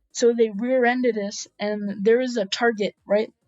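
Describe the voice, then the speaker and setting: A woman's fairly high voice in an American accent, fairly even in intonation and moderate in pace, with music in the background. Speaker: streamer. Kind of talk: casual storytelling. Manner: loud.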